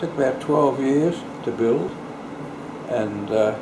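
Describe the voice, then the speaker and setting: There is noticeable background noise behind this speaker. A man with an Australian accent talks at a very slow pace. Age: 80s+. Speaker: local historian. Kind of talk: interview answer. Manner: slow, hesitant.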